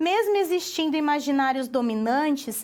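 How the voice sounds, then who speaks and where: A woman with a Paraná accent at a fairly slow pace. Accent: Paraná accent with retroflex R. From Paraná, southern Brazil. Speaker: university lecturer. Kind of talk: lecture.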